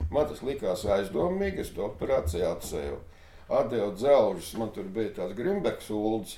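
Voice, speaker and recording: A man's voice with audible room echo. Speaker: former Soviet-era resistance fighter. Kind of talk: interview.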